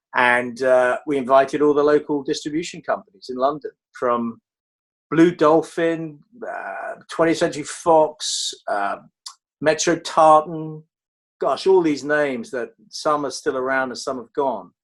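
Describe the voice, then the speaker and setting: A fairly slow delivery in a southern English accent, with ordinary pitch variation. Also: man, fairly high pitch for a man. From Dartford, England. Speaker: film trade magazine executive. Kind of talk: interview answer.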